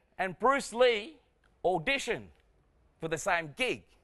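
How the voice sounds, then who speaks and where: A man with an Australian accent uses a raised, projected voice with a bright, sharp tone. His delivery is animated and fairly slow, with very wide pitch swings. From Australia, arrived from Vietnam at nine. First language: Vietnamese. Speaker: comedian. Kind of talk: stand-up. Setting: stage with audience.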